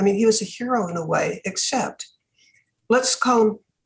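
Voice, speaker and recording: A woman speaks with an American accent and a fairly high pitch. Her voice is somewhat breathy. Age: 80s+. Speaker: philanthropist. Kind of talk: interview.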